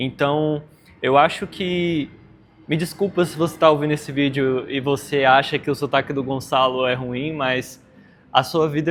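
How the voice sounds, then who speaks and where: An unremarkable speaking voice from a man, fairly high in pitch, with fairly even intonation and a moderate pace. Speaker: podcast host. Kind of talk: interview.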